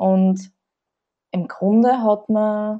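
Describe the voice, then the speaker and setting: Against a quiet background, the speaker's tone comes across as dark and mellow. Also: woman. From Austria, southern Burgenland (Oberwart district). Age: 30s. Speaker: journalist and Red Cross worker. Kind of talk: podcast interview.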